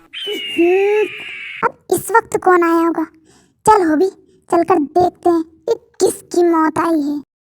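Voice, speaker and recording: A woman uses a put-on character voice pitched extremely high, with ordinary pitch variation. She goes at a fairly slow pace with long, frequent pauses. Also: dry, close sound with no echo. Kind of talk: comic overacting. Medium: read story.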